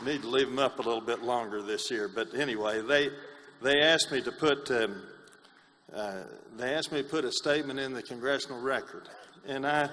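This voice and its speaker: Speaking in an East Tennessee accent, a man talks at a fairly quick pace with a medium pitch and ordinary pitch variation. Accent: East Tennessee Southern. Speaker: congressman. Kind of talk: speech at a meeting.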